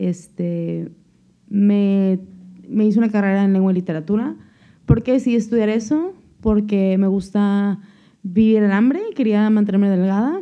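A woman's dark, mellow tone at a fairly slow pace, with long, frequent pauses, very even loudness and fairly even intonation. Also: medium pitch for a woman. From Mexico, La Paz, Baja California Sur. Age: 20s. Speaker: podcast co-host. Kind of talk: casual chat. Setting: home kitchen.

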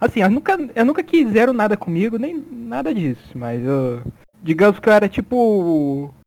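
This man speaks at a moderate pace in a high voice with very wide swings in pitch. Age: 20s. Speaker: podcast co-host. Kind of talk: casual chat.

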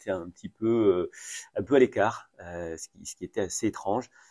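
A man's fairly low voice at a fairly slow pace, dry and close with no echo, in a very clean recording with a silent background. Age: 50s. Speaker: mayor. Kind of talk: interview. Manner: halting.

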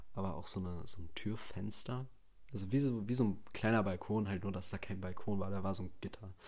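With audible room echo around him, a man speaks at a fairly quick pace and with fairly even intonation. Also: fairly low pitch for a man. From Germany, Bielefeld (Westphalia). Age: 20s. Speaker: podcast host, trained chef. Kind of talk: casual solo monologue. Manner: unscripted, many filler sounds.

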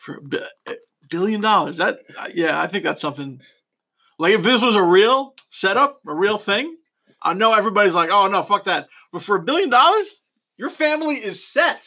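A man projects his raised voice at a high pitch with a bright, sharp tone and very wide pitch swings. His pace is moderate, and the background is quiet. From Greek heritage. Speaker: podcast co-host. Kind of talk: casual chat.

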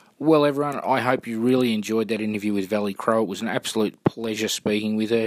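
A man with an Australian accent at a medium pitch and a very fast pace, fairly even intonation and hardly any pauses, dry and close with no echo. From Melbourne, Australia. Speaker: football club podcast host. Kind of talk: casual interview; podcast outro.

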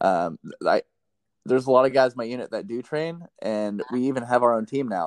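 A man with an ordinary speaking voice talks at a fairly quick pace and medium pitch, with lively intonation and big swings in loudness, in a dry, close sound with no echo. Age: 20s. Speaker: podcast host, Air Force member. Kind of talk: casual chat.

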